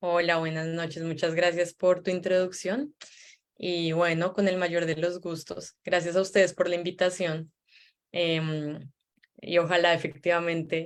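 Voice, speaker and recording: Delivered at a fairly slow pace, the speech has a monotone, flat intonation in a Colombian accent. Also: woman. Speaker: psychologist. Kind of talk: online interview. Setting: video call.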